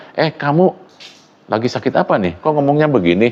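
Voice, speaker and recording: A man speaks at a fairly quick pace with a Sundanese accent. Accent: Sundanese-accented Indonesian. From West Java (Sundanese). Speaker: university lecturer. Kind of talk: lecture.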